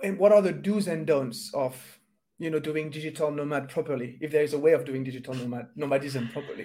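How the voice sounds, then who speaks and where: Speaking very fast with a French accent, a man has a fairly high pitch, a dark, mellow tone and ordinary pitch variation. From France. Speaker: podcast host. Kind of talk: interview.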